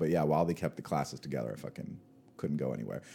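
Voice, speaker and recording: Speaking at a very fast pace with an American accent, a man shows vocal fry and a dark, mellow tone on a very clean recording with a silent background. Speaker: podcast co-host. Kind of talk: casual chat. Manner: animated.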